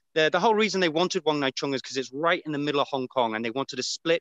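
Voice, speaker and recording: A man with a British accent speaks at a very fast pace in a bright, sharp tone, his pitch varying in an ordinary way, with a dry sound that has no echo against a quiet background. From Britain. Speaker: battlefield guide, war buff; on-site guide filming battlefield. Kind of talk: live walking tour commentary. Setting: outdoors on hill trail. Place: open country. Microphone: video call.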